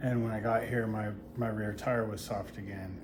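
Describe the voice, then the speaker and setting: Audible room echo surrounds a man with a fairly low pitch. He speaks at a moderate pace with monotone, flat intonation. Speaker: touring cyclist vlogger. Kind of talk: video diary. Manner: quiet, hushed; hesitant, many fillers.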